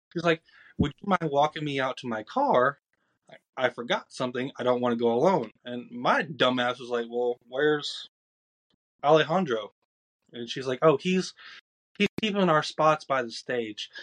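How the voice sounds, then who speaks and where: Recorded with a dry, close sound and no echo, a man with a Southern US accent and medium pitch speaks at a moderate pace, with ordinary pitch variation and long, frequent pauses. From Georgia, US South. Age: 20s. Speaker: podcast guest. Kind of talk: casual chat.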